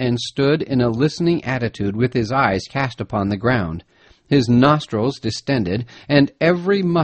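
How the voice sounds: Someone reads in a natural reading voice. The pitch moves in a lively way.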